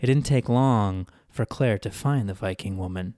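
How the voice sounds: A natural reading voice shows ordinary variation in pitch.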